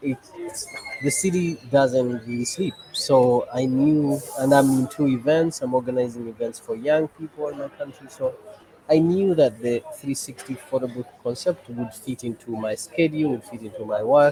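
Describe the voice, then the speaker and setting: Medium-pitched male speech at a moderate pace, with ordinary pitch variation and noticeable background noise. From Uganda, Kampala. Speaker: photo booth business owner and NGO head. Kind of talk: casual interview. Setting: video call from a cafe.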